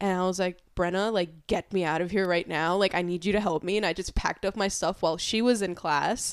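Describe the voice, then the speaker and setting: A woman with a plain, everyday voice, medium pitch and fairly even intonation, at a fairly quick pace with hardly any pauses. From New York City, Queens. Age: 20s. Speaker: podcast guest. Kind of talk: casual chat.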